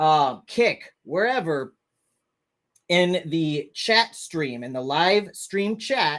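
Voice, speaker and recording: A man's high voice with an American accent, lively intonation and a very slow pace, on a very clean recording with a silent background. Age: 30s. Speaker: YouTuber and animal sanctuary owner. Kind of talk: livestream casual chat. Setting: live stream. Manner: animated.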